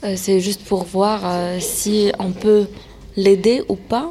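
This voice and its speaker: Against noticeable background noise, a woman speaks in a calm tone at a very slow pace. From France. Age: 20s. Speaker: interpreter at aid centre. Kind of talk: interview.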